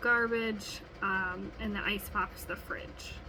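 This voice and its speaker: There's audible room echo and noticeable background noise as a woman with an American accent speaks at a fairly high pitch. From US Midwest, Wisconsin. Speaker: student. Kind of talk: recorded class assignment monologue. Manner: casual, many filler ums.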